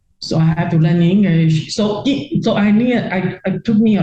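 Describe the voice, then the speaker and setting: A woman speaks at a fairly slow pace in a somewhat breathy voice, with ordinary pitch variation. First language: not English. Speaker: retired real-estate investor. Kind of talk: interview. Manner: halting, many repetitions.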